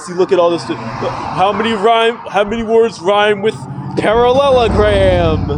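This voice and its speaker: A man speaks against noticeable background noise. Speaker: YouTuber and amateur rapper. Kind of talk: casual vlog monologue. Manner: halting, many fillers and repetitions.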